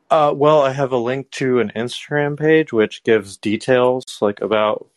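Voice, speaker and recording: A man with an unremarkable speaking voice. He talks at a moderate pace with ordinary pitch variation. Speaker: caller. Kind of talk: casual chat.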